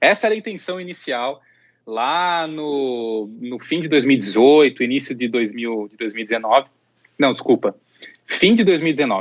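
A man's medium-pitched voice at a very slow pace, with lively intonation and big swings in loudness. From Campinas region, São Paulo interior, Brazil. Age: 30s. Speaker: pet influencer and content creator. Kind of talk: interview conversation.

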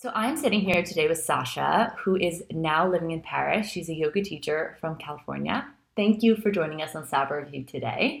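Using lively intonation and vocal fry, a woman talks at a fairly quick pace in a fairly low voice. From New York. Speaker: podcast host, yoga and wellness expert. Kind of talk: casual interview chat.

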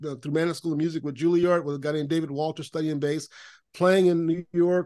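A man with an American accent has a plain, everyday voice. His intonation is fairly even against a quiet background. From Central Florida (Lakeland). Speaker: productivity consultant and author. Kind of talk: podcast interview.

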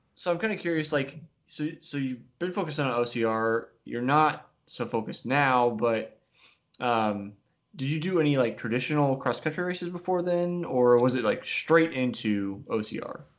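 Over a quiet background, a man with an ordinary speaking voice talks at a moderate pace with lively intonation. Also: fairly high pitch for a man. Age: 30s. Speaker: podcast host. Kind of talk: podcast interview. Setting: video call.

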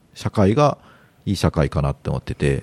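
Dry and close with no echo, a man's dark, mellow voice moves through very wide pitch swings. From Japan. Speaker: podcast guest. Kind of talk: casual chat.

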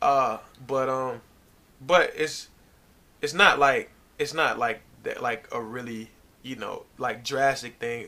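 A man with an American accent at a medium pitch, very slow pace, long and frequent pauses, big swings in loudness and fairly even intonation. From US South, Virginia (Norfolk). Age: 20s. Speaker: basketball player. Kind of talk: casual interview.

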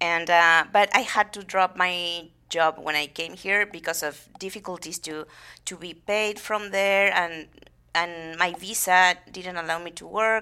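A woman with a Spanish accent speaks at a fairly slow pace in a bright, sharp tone, her fairly low pitch carried on fairly even intonation in a very clean recording with a silent background. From Argentina, Buenos Aires province. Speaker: theatre founder and actress. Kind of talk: interview.

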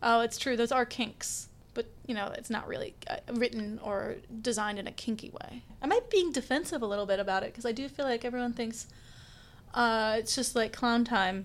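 A woman's fairly high, fairly quick delivery in an ordinary speaking voice, with ordinary pitch variation. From Kansas (Stanley, near Kansas City). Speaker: graphics editor and illustrator. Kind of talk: casual interview.

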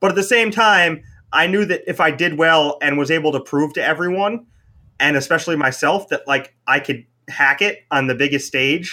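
In a very clean recording with a silent background, a man with a normal speaking voice talks at a moderate pace, fairly high pitch and lively intonation. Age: 30s. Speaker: professional card game player. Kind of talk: podcast interview. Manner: casual, many fillers like 'like'.

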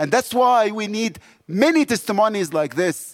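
This man speaks in an Egyptian accent at a high pitch. The sound is dry and close with no echo. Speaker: missionary. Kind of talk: sermon. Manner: animated.

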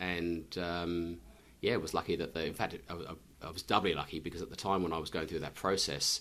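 A man speaks at a moderate pace with a very deep, low pitch and some vocal fry. His tone is bright and sharp, and his intonation stays fairly even. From England. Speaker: company CEO. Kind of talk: interview. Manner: halting, with many repetitions.

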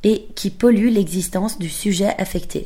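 A woman speaks at medium pitch in a dark, mellow tone. Her voice is somewhat breathy. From Belgium. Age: 20s. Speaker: podcaster. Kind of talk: scripted narration.

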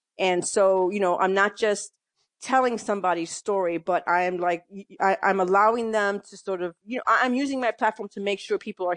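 Recorded against a quiet background with a dry, close sound and no echo, a woman talks at a fairly quick pace with a normal speaking voice, medium pitch and ordinary pitch variation. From New York, the Bronx. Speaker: newspaper columnist and reporter. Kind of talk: interview.

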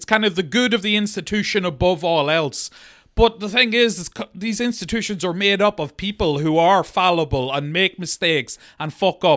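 The sound is dry and close, with no echo. A man speaks at a high pitch. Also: ordinary pitch variation, moderate pace. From Monaghan, Ireland. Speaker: podcast co-host. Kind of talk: casual comedic chat about true crime. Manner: joking, irreverent.

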